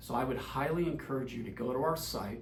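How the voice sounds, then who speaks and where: Audible room echo surrounds a man as he talks. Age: 60s. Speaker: insurance advisor. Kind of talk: direct-to-camera explainer.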